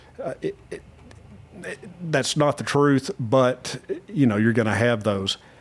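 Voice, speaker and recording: A medium-pitched man with an American accent, fairly slow, with long, frequent pauses, ordinary pitch variation and noticeable background noise. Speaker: podcast host. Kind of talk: casual interview conversation.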